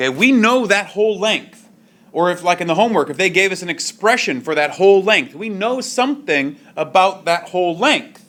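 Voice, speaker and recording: Lively intonation carries this voice along at a moderate pace. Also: man, high pitch for a man. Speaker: high school math teacher. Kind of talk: classroom lecture. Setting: classroom with students.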